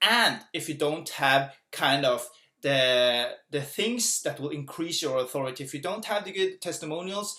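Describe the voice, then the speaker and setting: A fairly high-pitched man at a fairly slow pace with lively intonation. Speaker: business coach. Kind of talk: tutorial. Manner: soft-spoken; animated.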